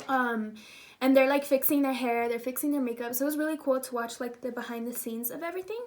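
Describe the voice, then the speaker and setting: Here a woman is speaking. Her tone is animated. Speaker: YouTuber and pageant titleholder. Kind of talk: casual vlog storytelling.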